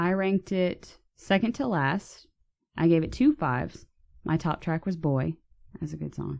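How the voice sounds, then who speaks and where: With an American accent, a woman talks at a moderate pace in a fairly low pitch with ordinary pitch variation. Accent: slight Texan accent, peeks out sometimes. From Texas. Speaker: podcast co-host. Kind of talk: casual chat.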